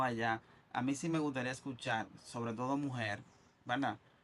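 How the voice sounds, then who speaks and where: Here is a man with a plain, everyday voice. He goes at a fairly quick pace with ordinary pitch variation. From Dominican Republic. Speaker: podcast host. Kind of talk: casual interview chat.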